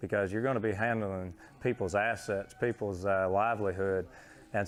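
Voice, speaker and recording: This is a plain, everyday voice from a man with a fairly low pitch. He talks at a moderate pace with fairly even intonation. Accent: American. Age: 20s. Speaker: champion livestock auctioneer. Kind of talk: interview answer.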